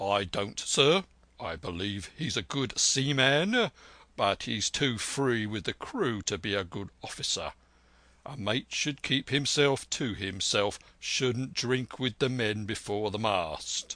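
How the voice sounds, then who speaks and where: A man puts on a raspy character voice at a medium pitch, with lively intonation. He speaks at a fairly slow pace against a quiet background. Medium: read story. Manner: blunt, terse.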